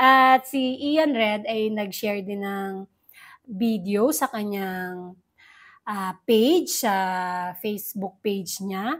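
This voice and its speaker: At a very slow pace, a woman speaks with a fairly high pitch and ordinary pitch variation on a very clean recording with a silent background. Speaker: entertainment news vlogger. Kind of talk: casual vlog commentary.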